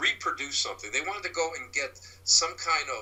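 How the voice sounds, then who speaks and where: The pace is moderate. Noticeable background noise runs throughout. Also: man. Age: 60s. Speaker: paranormal investigator and psychic medium. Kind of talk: casual interview chat. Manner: halting, many fillers and restarts.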